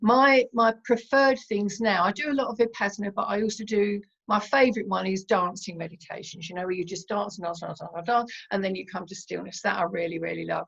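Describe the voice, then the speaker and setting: This woman talks at a very fast pace in a medium pitch with ordinary pitch variation. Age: 70s. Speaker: meditation teacher and therapist. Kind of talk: interview. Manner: hesitant with fillers.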